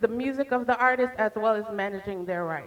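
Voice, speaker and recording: Against noticeable background noise, a woman speaks in a fairly high pitch with very wide pitch swings. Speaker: startup founder pitching. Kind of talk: pitch presentation.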